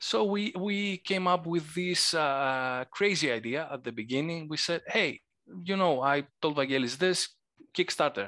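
In a Greek accent, a man speaks with a fairly high pitch. His tone is bright and sharp. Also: lively intonation, fairly slow pace. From Greece. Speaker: board game designer. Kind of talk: casual interview. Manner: halting, hesitant.

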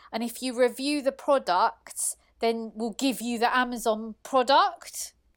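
A woman's high voice with ordinary pitch variation, in a very clean recording with a silent background. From Iran. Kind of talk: casual chat. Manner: excitable.

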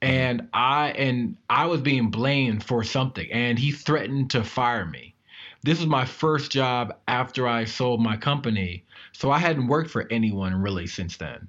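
A man with an American accent talks in a normal speaking voice at a moderate pace, his medium pitch showing ordinary variation over a quiet background. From Maryland, US. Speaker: tech entrepreneur. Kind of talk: interview.

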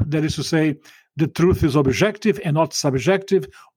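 With a Portuguese accent, a man speaks at a fairly high pitch with ordinary pitch variation. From Brazil. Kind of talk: interview.

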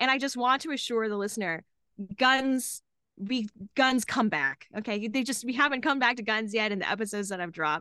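Bright and sharp in tone, a woman with a Texan accent and fairly high pitch talks at a fairly quick pace in an animated tone with lively intonation, the sound dry and close with no echo against a quiet background. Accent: Texan American. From Dallas, Texas. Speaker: comedian. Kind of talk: casual chat.

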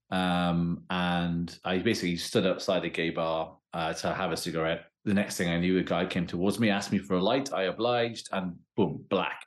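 Against a quiet background, a man with a Welsh accent speaks in a very deep, low pitch. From Wales. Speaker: criminology professor and author. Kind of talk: interview conversation. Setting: remote call.

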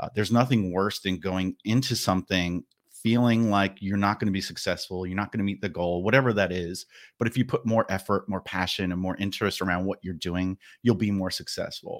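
A man talks at a fairly quick pace with a fairly low pitch and fairly even intonation, in a plain, everyday voice. The sound is dry and close with no echo, on a very clean recording with a silent background. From New Jersey, New York area. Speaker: marketing manager and podcast host. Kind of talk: casual interview.

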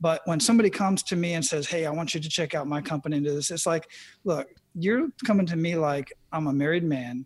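A man with an American accent talks at a very fast pace. His pitch is fairly high, with ordinary pitch variation. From Arizona. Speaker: retired Army medic and life coach. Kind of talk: casual interview.

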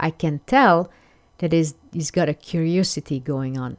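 A woman with a French accent, fairly low in pitch, at a fairly slow pace with ordinary pitch variation. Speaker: podcast host, life coach. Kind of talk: solo podcast monologue. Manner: hesitant, with filler words.

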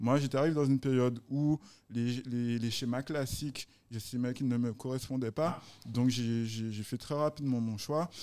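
On a very clean recording with a silent background, a man with a medium pitch talks at a fairly slow pace with ordinary pitch variation. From Guadeloupe. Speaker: entrepreneur. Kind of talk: casual interview chat. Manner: halting, repeats words.

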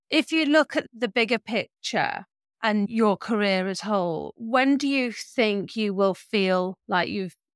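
Speaking at a fairly slow pace, a woman with an ordinary speaking voice, medium pitch and lively intonation is heard in a dry, close sound with no echo on a very clean recording with a silent background. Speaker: podcast host. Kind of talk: interview.

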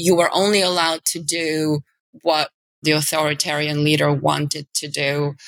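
A woman with a Bulgarian accent speaks at a very deep, low pitch and moderate pace, her intonation monotone and flat, in a dry, close sound with no echo. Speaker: media executive. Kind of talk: interview conversation.

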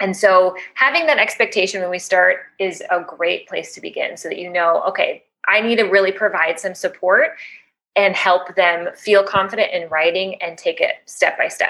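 Speaking with a Chicago accent at a moderate pace, a woman shows big swings in loudness. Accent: Chicago American English. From US Midwest, Chicago. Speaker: teacher educator, ELL specialist. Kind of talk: podcast interview. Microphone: cord issues causing occasional noises.

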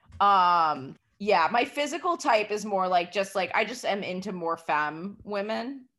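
The tone is bright and sharp, in an American accent. Delivery comes at a fairly slow pace with lively intonation. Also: woman, medium pitch for a woman, hardly any pauses. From New York City. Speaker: comedian. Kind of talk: casual chat.

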